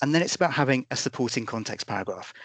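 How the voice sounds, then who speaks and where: Talking very fast with lively intonation, a man with a British accent is recorded with a dry, close sound and no echo. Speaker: policing oversight body representative. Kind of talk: webinar presentation.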